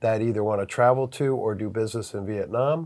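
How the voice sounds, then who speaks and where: Over a very clean recording with a silent background, a man speaks in an American accent at a moderate pace. He has a plain, everyday voice, a fairly low pitch and fairly even intonation. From US. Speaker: business consultant. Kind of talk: interview. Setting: on location in Vietnam.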